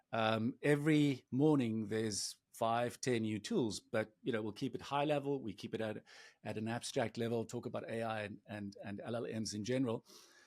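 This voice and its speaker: A South African accent from a man at a medium pitch and moderate pace, fairly even in intonation, on a very clean recording with a silent background. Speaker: agency CEO. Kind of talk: podcast interview. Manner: halting.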